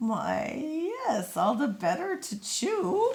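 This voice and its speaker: A woman puts on a character voice, pitched fairly high and delivered at a very slow pace. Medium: read story.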